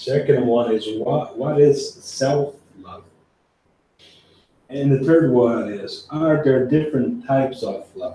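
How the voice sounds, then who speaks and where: A man with a fairly high voice and a dark, mellow tone speaks very slowly, somewhat breathy. His pitch varies in an ordinary way, and the room echo is audible. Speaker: spiritist lecturer. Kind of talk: lecture. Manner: soft-spoken.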